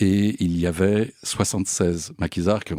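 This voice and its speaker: A man's dark, mellow voice with fairly even intonation, in a dry, close sound with no echo. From France (Paris). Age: 60s. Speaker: volunteer association delegate, businessman. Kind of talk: testimony. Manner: hesitant, frequent 'euh'.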